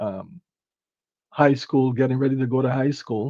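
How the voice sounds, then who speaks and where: A man with a Barbadian accent and fairly even intonation. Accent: Barbadian (Bajan). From Barbados. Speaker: empowerment speaker. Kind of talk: interview conversation. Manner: halting.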